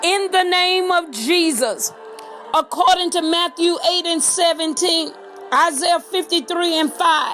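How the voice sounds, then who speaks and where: A woman's extremely high pitch at a very slow pace, with music in the background. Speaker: apostle / minister giving a prophetic prayer. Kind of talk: prophetic prayer, sermon-style declaration. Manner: authoritative, emphatic, declarative.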